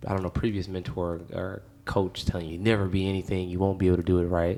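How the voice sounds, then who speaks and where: A man's very deep, low, flat monotone in a dark, mellow tone at a very fast pace, on a very clean recording with a silent background. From Flint, Michigan. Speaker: podcast host. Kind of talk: casual interview chat.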